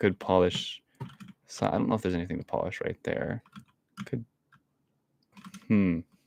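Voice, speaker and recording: Quiet speech at a moderate pace, broken by long, frequent pauses, in a dry, close sound with no echo. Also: man. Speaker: streamer. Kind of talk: live gameplay commentary. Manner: stutters, repeats words; frequent silences, quiet stretches.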